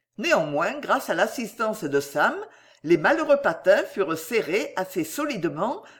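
What we hear is someone plainly reading a text aloud.

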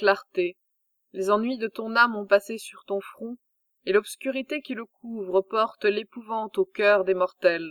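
In a dry, close recording with no echo, a woman speaks with medium pitch, a dramatic tone, and big swings in loudness at a fairly slow pace. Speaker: audiobook narrator. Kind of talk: reading aloud, audiobook narration of mythological epic. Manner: measured, formal, dramatic storytelling.

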